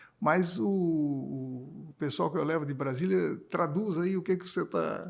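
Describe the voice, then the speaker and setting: At a fairly slow pace, a man uses a normal speaking voice with a fairly high pitch and lively intonation. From Brazil, Santa Catarina (Florianópolis), born in Paraná. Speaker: electricity sector executive and engineer. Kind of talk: interview.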